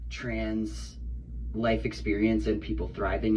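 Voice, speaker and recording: A man talks in a relaxed tone over noticeable background noise. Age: 30s. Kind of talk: casual talk to camera. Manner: relaxed, casual.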